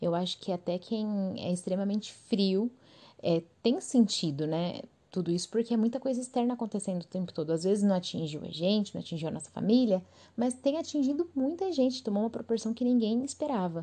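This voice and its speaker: This woman has a Brazilian accent and a fairly high pitch, with a dark, mellow tone that is somewhat breathy. She talks at a fairly quick pace with lively intonation. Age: 20s. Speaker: podcast host. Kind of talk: casual solo monologue.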